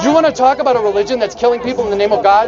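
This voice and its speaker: Crowd noise fills the background. The voice shows ordinary pitch variation. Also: man. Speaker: street preacher. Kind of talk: street preaching debate. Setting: outdoors with a microphone.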